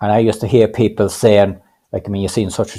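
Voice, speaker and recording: Talking at a very fast pace, a man with a Cavan accent keeps a monotone, flat intonation in a dark, mellow tone. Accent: Irish, Cavan. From Ireland, County Cavan. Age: 60s. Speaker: adult literacy learner. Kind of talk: panel interview. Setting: video call. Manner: halting, many repetitions.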